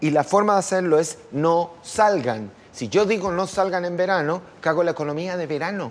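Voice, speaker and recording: A man with a high voice talks at a moderate pace, his pitch varying in an ordinary way, while noticeable background noise runs underneath. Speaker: makeup artist and designer. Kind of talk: casual chat.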